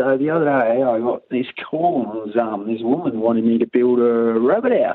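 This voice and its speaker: The speaker has a strong Australian accent. The pace is moderate, with ordinary pitch variation. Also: man. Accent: broad Australian. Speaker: tradesman caller. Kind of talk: casual voice message yarn.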